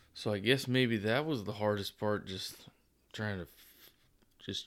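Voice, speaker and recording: This man has an ordinary speaking voice, with a fairly low pitch, ordinary pitch variation, and a moderate pace. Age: 30s. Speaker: new father. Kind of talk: casual chat.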